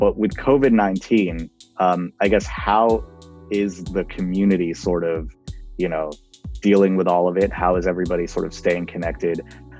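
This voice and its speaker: Music plays in the background behind a man. His voice is very deep and low, with lively intonation. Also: moderate pace. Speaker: interview host. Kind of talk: interview questions.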